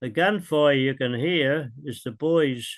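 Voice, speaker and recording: A man with an Australian accent speaks at a very slow pace in a fairly high pitch. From Melbourne, Australia. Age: 80s+. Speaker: war veteran. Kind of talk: interview answer.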